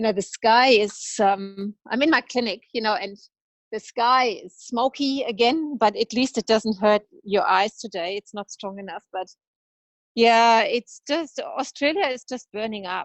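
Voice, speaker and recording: Fairly slow and fairly high-pitched, a woman's voice shows ordinary pitch variation and big swings in loudness. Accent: slight German. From Germany. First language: German. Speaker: veterinarian. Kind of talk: interview conversation.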